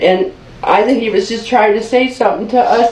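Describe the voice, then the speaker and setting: Over noticeable background noise and audible room echo, a woman talks at a moderate pace in a high voice with lively intonation. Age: 50s. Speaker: mother reporting abuse to police. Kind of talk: police interview. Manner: agitated.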